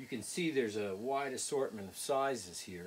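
A man speaking at a moderate pace. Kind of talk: tutorial. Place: workshop. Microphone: camera far.

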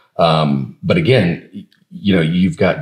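In a quiet background, a man speaks. His pitch swings very widely. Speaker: podcast co-host. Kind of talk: podcast conversation. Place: office. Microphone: lapel.

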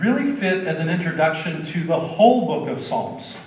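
The man's room echo is audible. He speaks at a moderate pace. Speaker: pastor. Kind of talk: sermon. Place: church.

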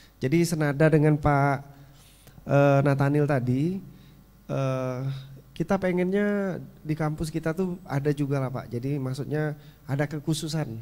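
Fairly slow and with fairly even intonation, a man speaks in a dark, mellow tone. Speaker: panel moderator. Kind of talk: moderated discussion. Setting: stage with audience. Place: hall. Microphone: handheld.

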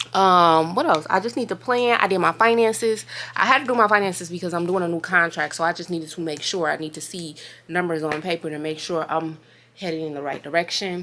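A woman speaks at a very fast pace with a fairly low pitch and a bright, sharp tone. Light background noise sits under her voice. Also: ordinary pitch variation, big swings in loudness. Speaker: vlogger. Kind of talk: casual vlog chat. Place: home room. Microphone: phone near.

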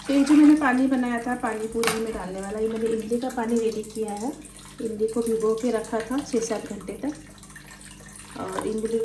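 Over noticeable background noise and audible room echo, a woman with a fairly high pitch speaks at a fairly slow pace in a monotone, flat intonation. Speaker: vlogger. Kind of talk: cooking vlog. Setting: at home. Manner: casual chatty.

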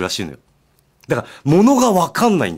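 A man's voice swings very widely in pitch, with vocal fry. The background is quiet. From Japan, Miyazaki; Japan. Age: 50s. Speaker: radio host. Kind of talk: casual radio talk. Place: studio.

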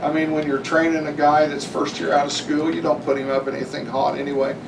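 A man talks at a fairly quick pace with a fairly high pitch. The recording has audible room echo and noticeable background noise. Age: 60s. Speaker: city utility line crew supervisor. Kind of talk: council meeting discussion. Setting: city council meeting.

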